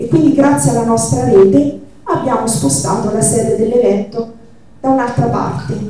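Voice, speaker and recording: Her pitch is fairly high and swings very widely as the woman talks at a moderate pace. Strong room echo and noticeable background noise fill the recording. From central Italy, Marche. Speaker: activist organizer. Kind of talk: event moderation. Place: hall.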